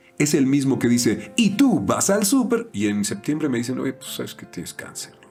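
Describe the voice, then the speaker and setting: Music plays behind a man whose fairly high voice makes very wide pitch swings. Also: moderate pace, hardly any pauses. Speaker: voice actor.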